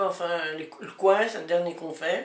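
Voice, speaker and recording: Noticeable background noise sits behind a woman talking. She speaks at a very slow pace with fairly low pitch. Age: 70s. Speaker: farmer. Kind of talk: interview.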